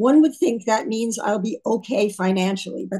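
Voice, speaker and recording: A woman speaks at a moderate pace with a fairly high pitch. Her voice is somewhat breathy, with a dark, mellow tone. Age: 80s+. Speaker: retired physician and health care advocate. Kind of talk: press conference speech. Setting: press conference.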